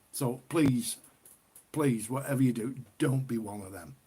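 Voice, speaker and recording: A man with a northern English accent, somewhat breathy, medium in pitch, with ordinary pitch variation at a moderate pace. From northern England, Cheshire. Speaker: livestreamer, ale reviewer. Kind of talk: casual live stream chat. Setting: live stream. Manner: chatty, informal.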